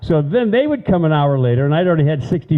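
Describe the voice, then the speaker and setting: A man at a very fast pace with lively intonation, over noticeable background noise. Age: 70s. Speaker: local storyteller. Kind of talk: storytelling talk.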